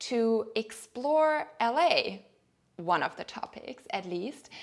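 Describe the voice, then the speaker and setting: A woman with a German accent speaks at a fairly high pitch. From Germany. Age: 30s. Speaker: lifestyle vlogger. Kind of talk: personal vlog monologue. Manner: hesitant, with fillers.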